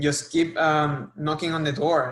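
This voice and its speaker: Using a fairly high voice, a man with a Spanish accent speaks at a fairly slow pace. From Puerto Rico, Arecibo. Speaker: sports marketing professional. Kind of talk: interview. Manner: halting.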